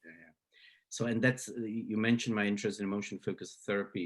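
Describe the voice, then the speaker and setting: A man is speaking. He has a Slovak accent. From Slovakia. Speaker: psychology professor. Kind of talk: interview. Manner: halting, many fillers and repeats.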